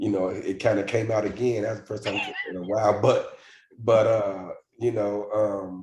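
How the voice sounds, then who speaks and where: A man with a fairly low, somewhat breathy voice speaks at a moderate pace in a monotone, flat intonation, with audible room echo around him. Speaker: football broadcaster. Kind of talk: casual podcast chat.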